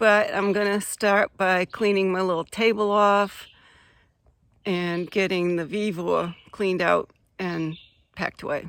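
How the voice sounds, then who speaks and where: A woman at a medium pitch with monotone, flat intonation and a fairly slow pace, in a very clean recording with a silent background. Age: 70s. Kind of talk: casual talk to camera. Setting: outdoors.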